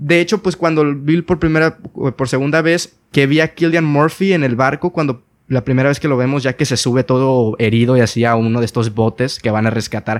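A man with an unremarkable speaking voice talks fairly quickly at a fairly high pitch with lively intonation. The recording is very clean, the background silent. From Mexico, Sinaloa. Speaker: podcast host. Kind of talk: casual chat. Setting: call.

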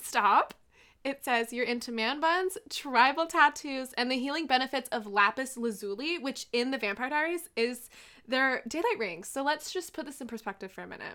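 A raised, projected voice with a bright, sharp tone moves at a moderate pace, with lively intonation and big swings in loudness. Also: woman, high pitch for a woman. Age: 20s. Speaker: podcast co-host. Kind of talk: casual chat. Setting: video call.

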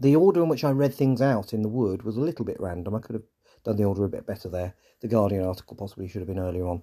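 A man with an English accent talks at a very fast pace, his intonation lively. His pitch is fairly low, the tone dark and mellow, and the recording very clean with a silent background. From England. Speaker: podcast host. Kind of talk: scripted podcast narration with off-script commentary. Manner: informal, halting in the off-script part.

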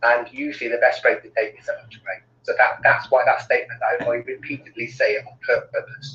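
A man with a Cardiff accent, fairly quick pace and big swings in loudness. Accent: Welsh (Cardiff). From Cardiff, South Wales. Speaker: well-being consultant. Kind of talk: interview.

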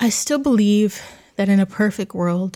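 A woman's medium-pitched voice, somewhat breathy, with a dark, mellow tone. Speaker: podcast host. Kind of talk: reflective personal monologue; reading aloud a written tribute.

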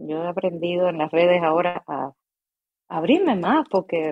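Dry, close sound with no echo from a woman with a medium pitch and a calm tone. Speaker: actress and acting teacher. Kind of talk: casual interview chat. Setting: live stream.

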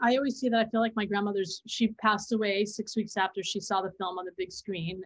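At a fairly quick pace, a woman uses a normal speaking voice at a medium pitch. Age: 50s. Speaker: filmmaker and educator. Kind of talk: interview conversation.

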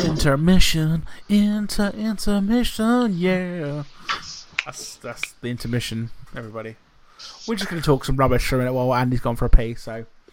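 With noticeable background noise behind him, a man speaks at a moderate pace in a fairly high voice, his pitch swinging very widely and his loudness rising and falling sharply. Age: younger than Andy (under 34). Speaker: podcast co-host. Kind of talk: casual chat.

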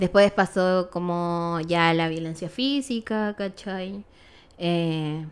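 Speaking at a very slow pace, a woman talks with a Chilean accent. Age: 20s. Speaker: photographer. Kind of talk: testimony.

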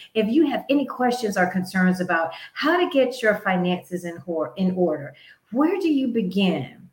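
A somewhat breathy woman's voice at medium pitch, moderate pace, very wide pitch swings. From US South, North Carolina. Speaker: podcast host, finance segment. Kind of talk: motivational talk on personal finance. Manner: animated.

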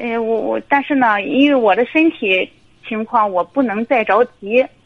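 A woman talks at a moderate pace with a fairly high pitch. Her pitch variation is ordinary. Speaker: caller, divorced mother and civil servant. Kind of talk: phone-in personal story. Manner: halting, many fillers. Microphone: too quiet at first.

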